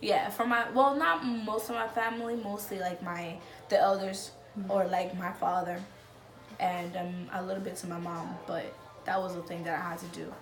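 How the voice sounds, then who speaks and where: A woman speaks at a medium pitch over music in the background. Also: ordinary pitch variation, moderate pace. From Dominican Republic. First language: Spanish. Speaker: immigrant. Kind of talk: interview answer. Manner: casual, hesitant.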